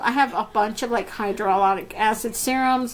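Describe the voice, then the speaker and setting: A woman with a Spanish accent speaks at a moderate pace in an animated tone. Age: 30s. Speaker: beauty YouTuber. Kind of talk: casual Q&A vlog.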